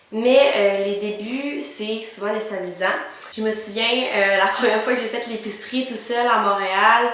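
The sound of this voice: In a room with strong echo, a woman speaks at a moderate pace in a medium pitch, with a fairly bright tone and ordinary pitch variation.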